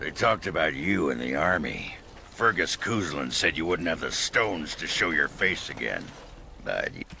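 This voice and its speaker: Against clear background noise, a man uses a put-on character voice that is raspy and very deep, low in pitch, at a moderate pace. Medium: video game. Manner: blunt, gruff.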